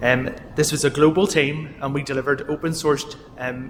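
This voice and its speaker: A man speaks in a Northern Irish accent with fairly high pitch. His intonation is fairly even. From Northern Ireland. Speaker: software company executive. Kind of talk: keynote talk.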